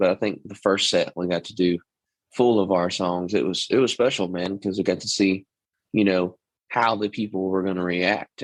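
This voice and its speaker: A man talks at a fairly quick pace in a Texas accent. His pitch is very deep and low. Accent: Texas twang, natural. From East Texas. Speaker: country singer. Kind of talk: interview. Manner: casual, with many fillers.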